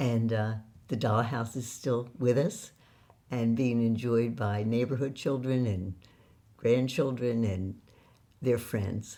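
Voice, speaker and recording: A woman with an American accent speaks in a very deep, low pitch and a dark, mellow tone. Her pace is fairly slow, with long, frequent pauses. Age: 80s+. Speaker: author and occasional actress. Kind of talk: interview storytelling.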